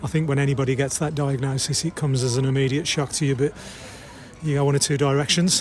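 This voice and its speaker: Monotone, flat delivery at a fairly quick pace over noticeable background noise. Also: man. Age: 60s. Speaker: amateur ultra runner. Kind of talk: interview.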